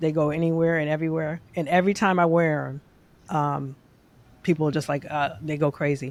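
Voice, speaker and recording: A woman with a very deep, low pitch talks fairly quickly in a flat monotone, in a very clean recording with a silent background. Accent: New York. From New York City, Queens. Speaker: database engineer. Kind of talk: casual chat. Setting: podcast recording.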